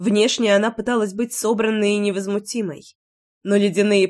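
Over a quiet background, the text is given a plain reading aloud.

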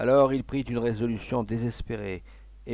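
An unforced reading voice, fairly even in intonation

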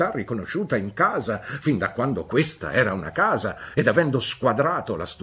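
A natural reading voice, full of lively intonation.

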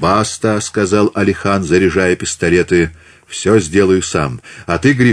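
The voice reads in a natural way.

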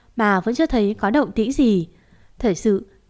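The speaker uses a natural voice for reading.

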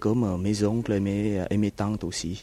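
Speaking very slowly with a Vietnamese accent, a man has a fairly low pitch and a dark, mellow tone. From South Vietnam. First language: Vietnamese (speaking French). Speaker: Vietnamese refugee. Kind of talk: testimony. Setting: outdoors in a garden. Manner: halting, many hesitations.

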